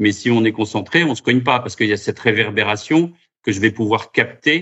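A man speaks at a medium pitch with ordinary pitch variation in an ordinary speaking voice. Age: 50s. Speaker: round-table moderator, association president. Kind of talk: round-table moderation.

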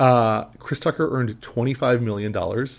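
In a very clean recording with a silent background, a man with an unremarkable speaking voice and medium pitch talks at a fairly slow pace. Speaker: podcast co-host. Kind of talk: casual chat.

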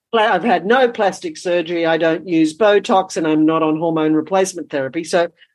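A woman with a plain, everyday voice, fairly low in pitch, with ordinary pitch variation, at a fairly quick pace with hardly any pauses. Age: 60s. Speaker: women's rites of passage teacher and former midwife. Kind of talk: casual chat.

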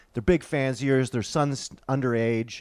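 Here a man with an unremarkable speaking voice and a fairly high pitch talks at a fairly quick pace, on a very clean recording with a silent background and a dry, close sound with no echo. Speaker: comedian. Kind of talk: casual chat.

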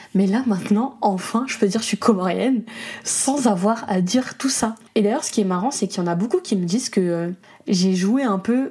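At a moderate pace, a woman with a medium pitch speaks in an animated tone with ordinary pitch variation. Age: 20s. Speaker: podcaster and content creator. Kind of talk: casual monologue. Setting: home studio.

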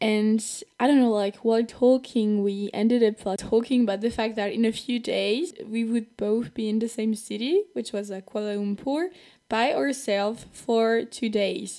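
A woman speaks at a moderate pace with a French accent, her pitch fairly high and her tone dark and mellow, with ordinary pitch variation. The recording is very clean, with a silent background. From France. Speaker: podcast host. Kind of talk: personal storytelling. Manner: casual and chatty.

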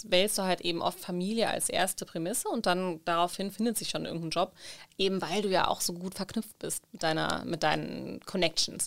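In a very clean recording with a silent background, a woman with a plain, everyday voice talks at a fairly quick pace, her medium pitch held in fairly even intonation. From Germany. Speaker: podcast co-host. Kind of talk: casual chat.

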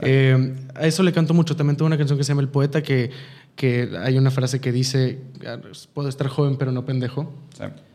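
A man with a Mexican accent talks at a fairly quick pace in a fairly high pitch, his intonation monotone and flat, broken by long, frequent pauses. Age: 20s. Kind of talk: interview.

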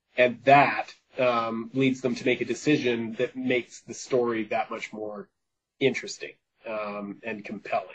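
The speaker has a western Canadian accent. Pitch varies in an ordinary way. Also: man. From Vancouver, British Columbia, Canada. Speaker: author. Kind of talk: interview.

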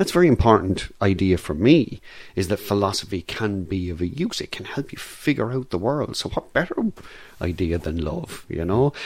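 The speaker has an Irish accent and a moderate pace. The pitch swings very widely. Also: man, fairly low pitch for a man. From Ireland. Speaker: philosophy lecturer. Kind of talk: casual interview. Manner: halting, many fillers.

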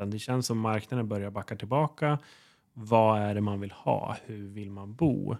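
Speaking at a moderate pace, a man has an ordinary speaking voice with a fairly low pitch. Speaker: podcast host and real estate agent. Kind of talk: casual interview chat.

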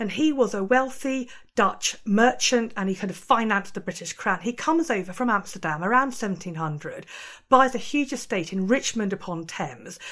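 Speaking with a normal speaking voice, a woman uses lively intonation and a fairly high pitch at a moderate pace. The recording is very clean, with a silent background. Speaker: museum curator. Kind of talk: interview.

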